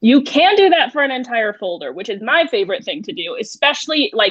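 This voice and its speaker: High-pitched woman's voice with very wide pitch swings over a quiet background. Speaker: digital learning coach. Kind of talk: webinar tutorial. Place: home room. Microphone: webcam.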